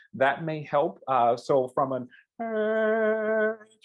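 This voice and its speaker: A very slow, high-pitched male voice with an American accent and lively intonation, over background music. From US Midwest, St. Louis, Missouri. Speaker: choral music educator. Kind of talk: online workshop Q&A. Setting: video call webinar. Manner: hesitant, many fillers and repeats.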